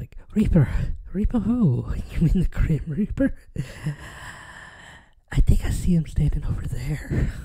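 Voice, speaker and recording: A raspy, put-on character voice sits at a middle pitch and moves at a moderate pace. Long, frequent pauses break it up. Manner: creepy, eerie.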